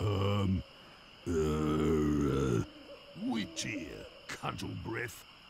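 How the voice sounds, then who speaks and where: Using a growling, put-on character voice with a very deep, low pitch, a man speaks at a very slow pace with long, frequent pauses over clear background noise. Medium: video game. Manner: taunting, gruff.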